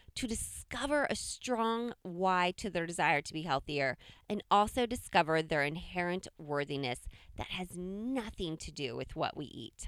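A plain, everyday voice at a fairly slow pace, with lively intonation. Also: woman. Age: 40s. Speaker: podcast host. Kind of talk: scripted narration; interview.

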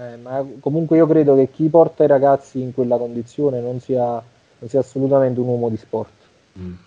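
A man speaks in a normal speaking voice at medium pitch and a fairly quick pace. His intonation is fairly even, with big swings in loudness. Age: 30s. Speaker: bodybuilding champion and coach. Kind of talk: interview conversation.

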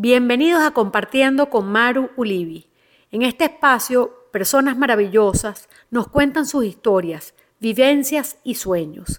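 Fairly slow speech from a woman in a high pitch. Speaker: podcast host. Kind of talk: interview hosting. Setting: live stream.

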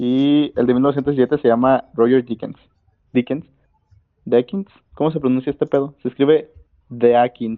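Speaking at a fairly slow pace with long, frequent pauses, a man holds a medium pitch and fairly even intonation. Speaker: podcast co-host. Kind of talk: casual chat.

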